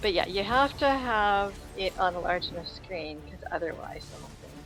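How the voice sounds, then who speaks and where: A soft-spoken woman mumbles her words. Music plays in the background. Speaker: gaming streamer. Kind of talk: casual chat. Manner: mumbling.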